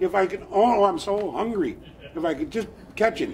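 A man with an American accent speaks in a high voice, his pitch swinging very widely. Light background noise is present. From US Pacific Northwest, Lummi Nation; Pacific Northwest. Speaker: storyteller. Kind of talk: traditional storytelling. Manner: animated. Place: street. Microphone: camera far.

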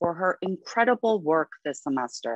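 A fairly slow pace, with dry sound, no echo and a quiet background. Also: woman. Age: 40s. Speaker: associate dean of art college; event host introducing speakers. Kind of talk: lecture introduction. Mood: warm, encouraging. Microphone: webcam.

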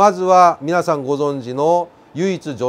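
The man's voice sits at a fairly high pitch. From Kansai, Japan (Zainichi Korean). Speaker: North Korean defector and commentator; commentator. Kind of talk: explainer talk to camera. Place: studio. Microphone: lapel.

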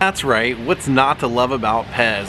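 A man's intonation is lively. Noticeable background noise sits under his voice. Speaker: travel vlogger. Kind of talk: casual vlog chat. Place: street. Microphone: phone near.

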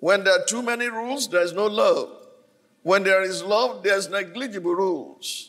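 A high-pitched male voice at a moderate pace, with ordinary pitch variation, over a quiet background. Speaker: preacher. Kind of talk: sermon. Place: church. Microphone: handheld.

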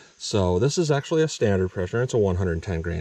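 The man's voice sits at a fairly low pitch. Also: dry sound with no echo. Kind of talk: tutorial. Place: forest. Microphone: phone near.

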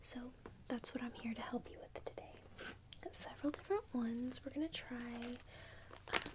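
Here a woman is whispering. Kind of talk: role-play salon chat to viewer. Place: home room. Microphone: phone near.

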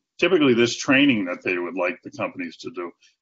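Someone talks with a Boston accent against a quiet background. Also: man. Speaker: accessibility sales and marketing executive. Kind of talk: interview answer. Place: home room. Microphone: video call.

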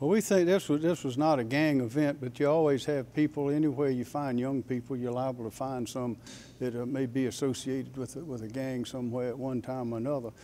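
Over light background noise, a man with a dark, mellow tone talks at a fairly quick pace with fairly even intonation and hardly any pauses. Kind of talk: press conference answer. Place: hall. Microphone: podium.

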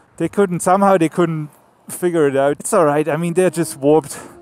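The man talks at a moderate pace with ordinary pitch variation, and the sound is dry with no echo. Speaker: motorcycle travel vlogger. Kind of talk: casual vlog chat. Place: motorbike.

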